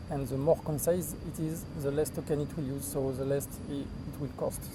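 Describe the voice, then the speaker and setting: Heard with audible room echo, a man at a fairly high pitch speaks at a moderate pace with fairly even intonation. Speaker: software developer. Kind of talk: casual interview. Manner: halting, many fillers.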